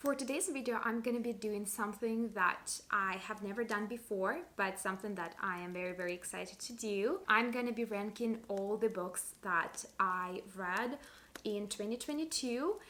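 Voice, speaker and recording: A woman with a non-native accent, bright and sharp in tone, at a moderate pace with hardly any pauses. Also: fairly high pitch for a woman, ordinary pitch variation. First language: not English. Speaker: book vlogger. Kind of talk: casual monologue video.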